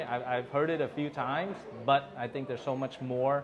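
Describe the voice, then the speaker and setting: Against noticeable background noise, the speaker talks at a fairly quick pace. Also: man. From Vietnam. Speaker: business consultant and interviewer. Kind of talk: interview.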